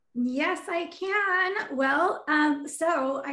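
A woman's raised, projected voice with ordinary pitch variation. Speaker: music sync manager. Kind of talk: casual interview.

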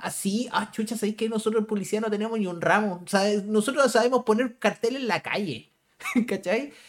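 With a Chilean accent, a man talks at a fairly quick pace in a high pitch with fairly even intonation. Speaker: podcast host. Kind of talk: casual chat.

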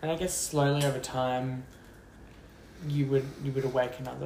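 This speaker has an Australian accent. The pace is moderate. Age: 20s. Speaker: podcast guest, friend of host. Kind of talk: casual chat.

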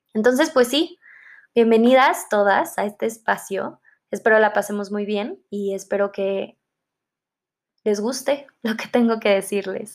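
A woman speaks at a fairly slow pace with a fairly high pitch, ordinary pitch variation, and long, frequent pauses. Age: 20s. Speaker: podcast host, psychology student. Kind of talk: casual solo podcast monologue.

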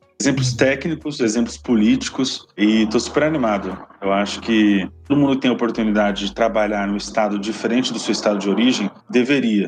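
With an ordinary speaking voice at a medium pitch, a man talks at a fairly quick pace with ordinary pitch variation and hardly any pauses. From Brazil, Paraná (Londrina). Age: 20s. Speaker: municipal government official. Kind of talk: interview.

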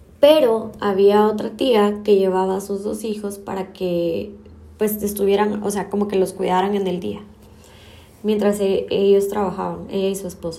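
With audible room echo, a woman speaks fairly slowly in a monotone, flat intonation. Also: medium pitch for a woman. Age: 30s. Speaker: podcaster. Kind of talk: personal monologue.

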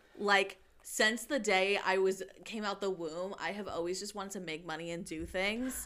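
Ordinary pitch variation and a moderate tempo in an animated tone. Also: woman, medium pitch for a woman. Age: 20s. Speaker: podcast co-host. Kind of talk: casual chat.

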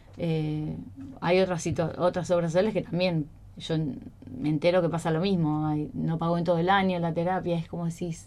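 The voice has a dark, mellow tone and monotone, flat intonation. It moves at a moderate pace with long, frequent pauses. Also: woman, fairly low pitch for a woman. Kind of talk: radio interview.

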